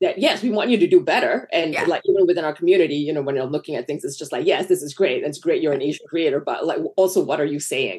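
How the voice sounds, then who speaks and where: A woman talking very fast over noticeable background noise. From Malaysia. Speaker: screenwriter and film director. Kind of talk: casual interview chat.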